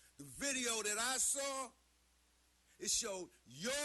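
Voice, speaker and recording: With an American accent, a man uses a raised, projected voice with a bright, sharp tone, lively intonation and a fairly slow pace. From New York, Harlem. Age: 60s. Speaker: Skid Row advocate, public commenter. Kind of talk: public comment.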